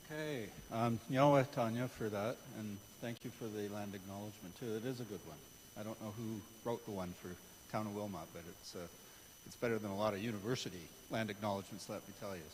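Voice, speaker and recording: A man's fairly low voice with a Canadian accent, very fast yet broken by long, frequent pauses, with ordinary pitch variation and audible room echo. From Hamilton, Ontario, Canada. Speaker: retired archaeology professor. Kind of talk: public lecture. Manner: hesitant with many fillers.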